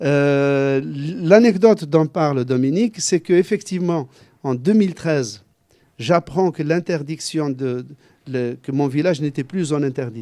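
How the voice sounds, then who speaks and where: This man's voice is fairly high, with a dark, mellow tone and ordinary pitch variation. He speaks at a moderate pace against a quiet background. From Algeria, Kabylie. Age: 60s. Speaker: journalist and author. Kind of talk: book talk Q&A.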